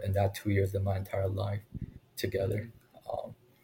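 Somewhat breathy, a man talks in a dark, mellow tone at a fairly low pitch. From Taiwan, rural Taoyuan (Longtan). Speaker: basketball video analyst, former NBA scout. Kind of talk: interview. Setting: remote recording.

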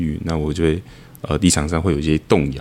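His tone is dark and mellow. The man talks at a fairly quick pace. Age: 20s. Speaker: company founder. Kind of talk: casual chat.

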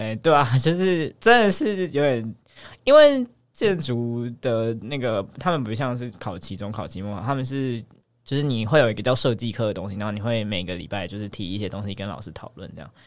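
An unremarkable speaking voice moves at a fairly quick pace with lively intonation and big swings in loudness, in a very clean recording with a silent background. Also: man, medium pitch for a man. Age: 30s. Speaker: medical resident. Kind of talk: casual chat.

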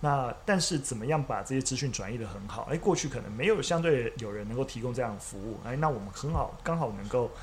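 This man talks at a very fast pace with lively intonation and a medium pitch. His voice is somewhat breathy. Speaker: media company CEO, former history teacher. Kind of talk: casual chat over tea. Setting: teahouse room.

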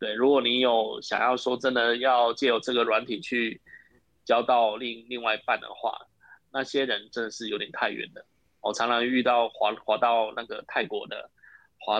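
The background stays quiet while a man speaks at a moderate speed. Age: 40s. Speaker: café owner. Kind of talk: interview. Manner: halting, repetitive.

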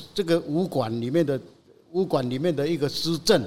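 In a plain, everyday voice, a man talks at a moderate pace, his fairly high pitch showing ordinary variation. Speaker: lion head artist and dental technician. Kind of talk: casual interview.

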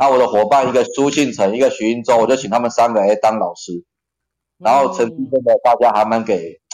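A man's very fast speech at a medium pitch, with ordinary pitch variation. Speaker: occupational safety trainer and lecturer. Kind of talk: casual chat.

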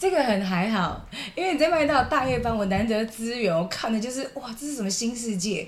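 A woman at a fairly high pitch with lively intonation and a fairly quick pace, amid audible room echo and noticeable background noise. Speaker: podcast co-host. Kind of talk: casual chat.

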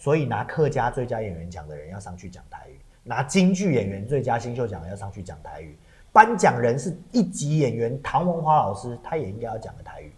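Speaking at a fairly quick pace with a Taiwanese accent, a man uses vocal fry, very wide pitch swings and big swings in loudness. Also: medium pitch for a man. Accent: Taiwanese Mandarin. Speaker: podcast co-host and stage actor. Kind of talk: casual chat. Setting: studio.

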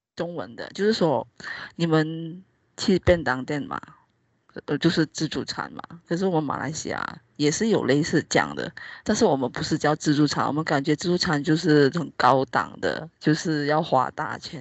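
The speaker talks at a moderate pace with a Malaysian accent. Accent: Malaysian Mandarin, often taken for Hong Kong. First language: Hakka (speaking Chinese). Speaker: podcast host. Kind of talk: casual chat. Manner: animated.

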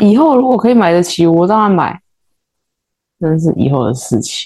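The speaker, a woman, talks fairly slowly. Her pitch moves in very wide swings. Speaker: podcast co-host, interior designer. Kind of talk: casual chat.

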